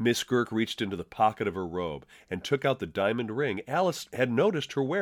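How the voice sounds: Lively intonation in a natural reading voice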